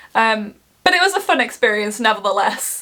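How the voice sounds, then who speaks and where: This woman speaks with an English Midlands accent. Her tone is animated, with very wide pitch swings. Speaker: travel vlogger. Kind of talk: casual travel vlog.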